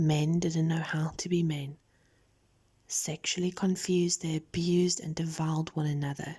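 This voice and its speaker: The speaker is soft-spoken and calm in tone. The pace is fairly slow. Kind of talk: scripture reading, audio Bible narration. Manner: soft-spoken, calm.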